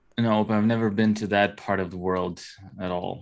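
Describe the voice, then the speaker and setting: A man speaks with fairly even intonation. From Ukraine. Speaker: tabletop gaming YouTuber. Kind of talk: casual chat. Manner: halting, many fillers and false starts.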